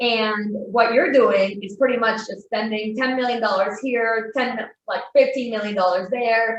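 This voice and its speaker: In a Spanish accent, the speaker goes at a fairly slow pace with hardly any pauses and fairly even intonation. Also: woman, fairly high pitch for a woman. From Spain. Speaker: wealth manager. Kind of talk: interview podcast.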